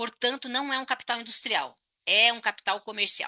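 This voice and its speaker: A woman speaks in a raised, projected voice with a bright, sharp tone. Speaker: economics professor. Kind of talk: lecture. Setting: online talk with chat. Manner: fast.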